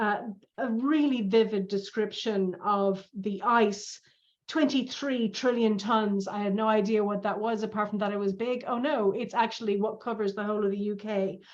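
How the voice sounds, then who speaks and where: A woman with an unremarkable speaking voice talks in a fairly high pitch. Her pace is moderate and her intonation fairly even. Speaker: speech evaluator. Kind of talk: speech feedback.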